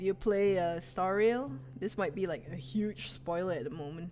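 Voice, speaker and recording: A woman's relaxed voice with a Malaysian accent, fairly low in pitch, at a fairly slow pace with very wide pitch swings over noticeable background noise. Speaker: game streamer. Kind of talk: casual gaming livestream commentary. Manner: relaxed, chill.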